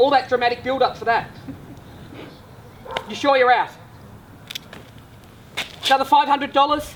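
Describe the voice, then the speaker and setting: Over noticeable background noise, a man talks at an extremely high pitch and a moderate pace, with fairly even intonation and long, frequent pauses. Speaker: real estate auctioneer. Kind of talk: auction calling.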